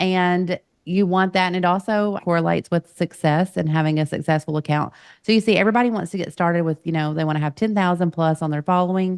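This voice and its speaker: Speech comes at a very fast pace with fairly even intonation, recorded with a dry, close sound with no echo over a quiet background. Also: woman, fairly low pitch for a woman. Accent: Southern. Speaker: podcast host and coach. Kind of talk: podcast interview.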